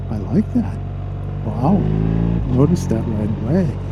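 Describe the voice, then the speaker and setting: A man talks at a moderate speed in a room with audible echo, and noticeable noise sits in the background. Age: 50s. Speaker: motorcycle reviewer. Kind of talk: ride-along review commentary. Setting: riding a motorcycle outdoors. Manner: casual, halting with many fillers.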